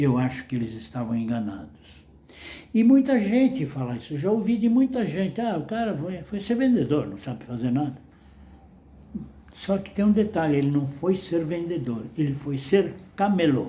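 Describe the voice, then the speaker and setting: With very wide pitch swings, a man's fairly high voice carries a dark, mellow tone. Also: moderate pace. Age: 80s+. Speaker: retired salesman and vlogger. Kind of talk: casual monologue.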